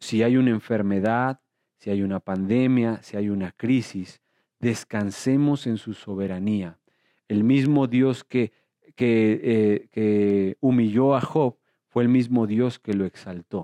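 A man's very slow speech in a Mexican accent, with a dark, mellow tone, fairly even intonation and a dry, close sound with no echo. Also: medium pitch for a man. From Mexico. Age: 30s. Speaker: pastor. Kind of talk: sermon.

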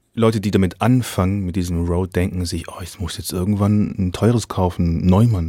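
A man speaks at a moderate pace with a very deep, low pitch. His tone is dark and mellow, his intonation monotone and flat. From Swabia, southern Germany. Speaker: podcast host. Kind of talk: casual interview chat. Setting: video call.

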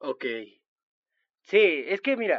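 A man talks at a very slow pace. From Chiapas, Mexico. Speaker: podcast co-host, friend of host. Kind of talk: casual chat.

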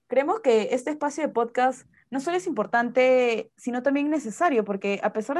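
Against a quiet background, a woman speaks at a moderate pace with lively intonation. Hers is an unremarkable speaking voice. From Peru. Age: 20s. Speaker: podcast co-host, Chinese translator and interpreter. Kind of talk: casual chat.

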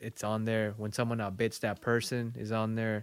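Moderate pace and medium pitch from a male speaker. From Mexico, small town. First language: Spanish. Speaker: visual artist. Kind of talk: casual interview chat.

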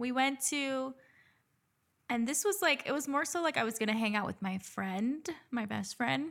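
With an American accent, a woman speaks in a high voice at a moderate pace, using lively intonation and long, frequent pauses, on a very clean recording with a silent background. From Dominican family, US. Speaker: nurse, podcast co-host. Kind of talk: casual chat.

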